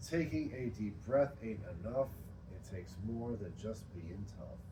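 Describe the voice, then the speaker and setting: With audible room echo, a man of medium pitch speaks at a fairly slow pace with lively intonation. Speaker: poet. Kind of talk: poetry reading at open mic; casual talk between poems. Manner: loud.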